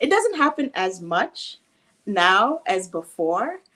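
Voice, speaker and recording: In a slight Jamaican accent, a raised, projected voice swings very widely in pitch. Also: woman. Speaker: guest on talk show. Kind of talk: interview.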